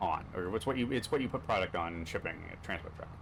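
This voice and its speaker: This man talks at a very fast pace with lively intonation. He has a slight Canadian accent. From Canada. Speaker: gaming streamer. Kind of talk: gameplay commentary.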